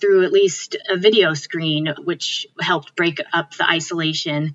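A woman speaks at a fairly slow pace in an ordinary speaking voice. Her pitch sits in the medium range. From Connecticut, US. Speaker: physician. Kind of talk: interview.

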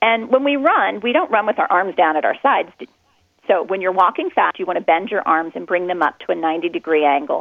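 A woman with an unremarkable speaking voice talks at a fairly quick pace. Her pitch sits in the medium range, and her intonation is lively. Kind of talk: coaching advice in an interview. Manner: clear, friendly, instructional; upbeat, encouraging.

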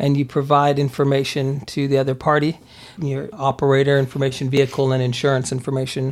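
In an American accent, a man with a plain, everyday voice and fairly high pitch talks at a fairly quick pace. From Germany (US military family), Pennsylvania. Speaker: police detective. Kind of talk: interview. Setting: studio.

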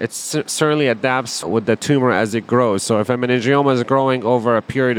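Over noticeable background noise, a man talks at medium pitch and a moderate pace with fairly even intonation. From Palestine. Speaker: neurosurgeon. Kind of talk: medical explainer interview.

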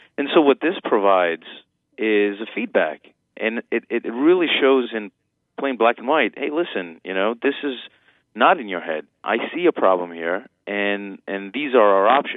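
With lively intonation, a man talks at medium pitch and a moderate pace. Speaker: urologist. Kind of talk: medical interview. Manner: explanatory, hesitant with fillers.

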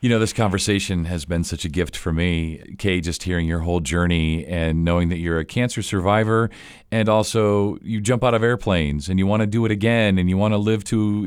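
Recorded very cleanly against a silent background, a man with an ordinary speaking voice talks at a moderate pace with hardly any pauses, a fairly low pitch and ordinary pitch variation. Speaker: podcast host. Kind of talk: interview.

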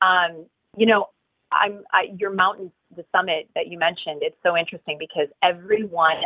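Speaking at a moderate pace, a woman has a plain, everyday voice pitched fairly low. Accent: American. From US Midwest, Wisconsin. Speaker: life coach and author. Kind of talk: interview.

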